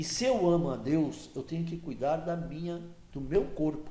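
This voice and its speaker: Room echo can be heard around a man's voice. He has a fairly high pitch and a dark, mellow tone. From Santos, São Paulo coast, Brazil. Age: 70s. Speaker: regional political association executive. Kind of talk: podcast interview, casual chat.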